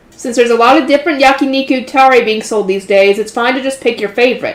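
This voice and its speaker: A woman with a high pitch and ordinary pitch variation talks at a very fast pace over noticeable background noise. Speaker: light novel reader, channel host. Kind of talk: reading aloud with commentary. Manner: stumbles over words.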